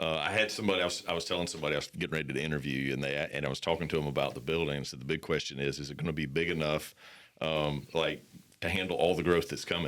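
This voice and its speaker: A man speaks very fast with a slight Southern US accent. His very deep, low voice has vocal fry and fairly even intonation. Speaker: podcast host. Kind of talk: casual interview.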